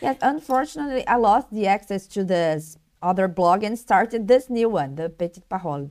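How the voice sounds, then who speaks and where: A woman talks at a fairly quick pace in a Brazilian Portuguese accent. Her pitch swings are very wide, and there are hardly any pauses. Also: medium pitch for a woman. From Brazil, Rio de Janeiro. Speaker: blogger. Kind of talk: interview. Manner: halting.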